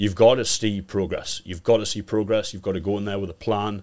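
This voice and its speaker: Fairly low-pitched man with a Geordie accent at a very fast pace, on a very clean recording over a silent background. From Newcastle, northern England. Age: 20s. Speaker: bodybuilder. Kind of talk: podcast interview.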